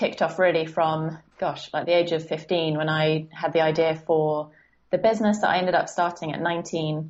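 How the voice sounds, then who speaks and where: A woman with an English accent talks at a moderate pace. Her fairly low voice stays monotone and flat. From southern England, Guildford. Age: 20s. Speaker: life coach. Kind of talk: podcast interview.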